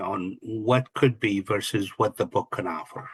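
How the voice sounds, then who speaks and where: Speaking with an Arabic accent, a man uses a medium pitch with ordinary variation at a moderate pace. The sound is dry and close with no echo, and the background is quiet. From Kuwait, Palestinian family. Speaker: real estate investor and coach. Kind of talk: interview.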